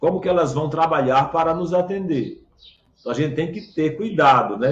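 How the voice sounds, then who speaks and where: A man talks with a fairly high pitch. His pace is moderate. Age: 60s. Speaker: pastor. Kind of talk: sermon. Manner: halting, frequent fillers.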